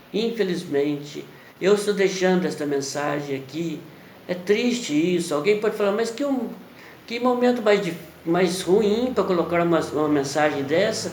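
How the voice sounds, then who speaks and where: A man with a Brazilian accent, high pitch, lively intonation and moderate pace, amid noticeable background noise and audible room echo. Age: 60s. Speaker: preacher. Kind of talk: sermon. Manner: halting.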